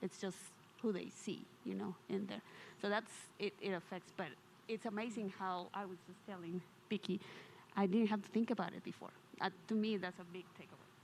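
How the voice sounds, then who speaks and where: A woman with a non-native accent speaks at a medium pitch and a fairly quick pace. Her loudness swings widely, and she takes long, frequent pauses. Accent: foreign. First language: not English. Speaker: audience member. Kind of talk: testimony.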